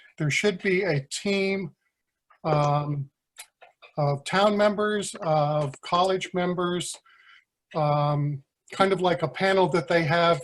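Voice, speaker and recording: With fairly even intonation, a man speaks at a high pitch and a very slow pace. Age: 60s. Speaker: town resident. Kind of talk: public comment at town meeting. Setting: remote electronic meeting.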